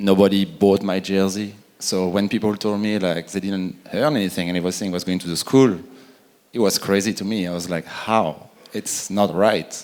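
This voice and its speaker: This voice keeps a fairly even intonation and a moderate pace, in a French accent. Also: man, fairly low pitch for a man. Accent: French accent, still noticeable. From France. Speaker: retired pro soccer player. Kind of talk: conference panel discussion.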